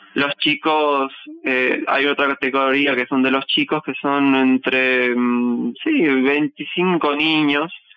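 A man talks at a very slow pace. His pitch is fairly high and his intonation fairly even. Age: 20s. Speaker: folk dancer. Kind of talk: interview testimony.

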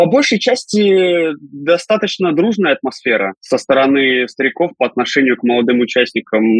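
A man speaks in a plain, everyday voice. His pitch is fairly high, and his pace is moderate. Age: 30s. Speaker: professional wrestler and commentator. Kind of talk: casual interview.

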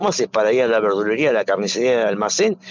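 Very wide pitch swings from a man, with noticeable background noise. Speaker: shopkeepers' association president. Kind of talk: interview. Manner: halting, many fillers.

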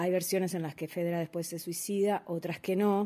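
The woman's voice has a fairly low pitch, a dark, mellow tone and a monotone, flat intonation. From Uruguay. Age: 40s. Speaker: actress. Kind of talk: interview.

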